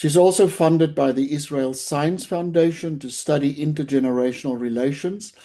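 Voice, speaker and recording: The speaker has a South African accent and a moderate pace. The background is quiet. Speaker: webinar moderator, professor. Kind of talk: webinar moderation, introducing speakers. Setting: online webinar. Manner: formal.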